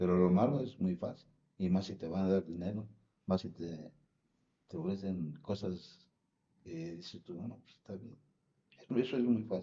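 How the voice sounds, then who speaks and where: With a very deep, low pitch and ordinary pitch variation, a man speaks at a moderate pace, pausing long and often, his loudness swinging widely. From Mexico City. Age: 60s. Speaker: retired truck driver. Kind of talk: interview. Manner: halting, many fillers.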